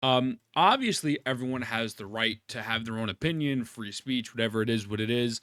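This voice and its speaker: Loud and animated, a man with a medium pitch and a bright, sharp tone talks at a fairly quick pace with hardly any pauses, in a dry, close sound with no echo. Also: ordinary pitch variation. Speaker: wrestling commentary youtuber. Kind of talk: casual opinion rant to camera. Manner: loud, animated.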